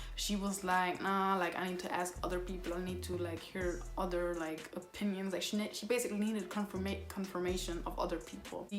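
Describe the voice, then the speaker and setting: With audible room echo and noticeable background noise, a woman speaks at a medium pitch and a fairly quick pace. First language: Somali. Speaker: YouTuber. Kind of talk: storytime vlog. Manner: animated.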